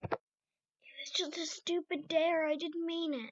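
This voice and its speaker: The pitch is extremely high. It is a put-on character voice. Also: fairly slow pace. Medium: audio drama. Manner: nervous.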